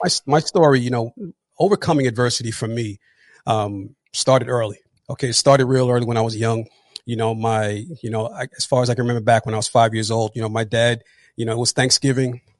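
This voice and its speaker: A man talks at a very fast pace and medium pitch. His intonation is fairly even, and the sound is dry and close with no echo. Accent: New Jersey. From New Jersey. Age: 40s. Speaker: retired police officer and motivational speaker. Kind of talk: interview testimony. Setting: live online podcast.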